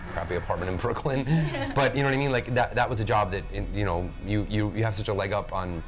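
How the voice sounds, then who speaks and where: The speaker talks at a very fast pace. Clear music plays in the background. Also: man. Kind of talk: roundtable discussion. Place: cafe. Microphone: lapel.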